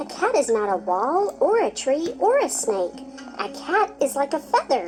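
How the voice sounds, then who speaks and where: A squeaky put-on character voice against clear background noise. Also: moderate pace. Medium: read story. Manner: earnest, eager.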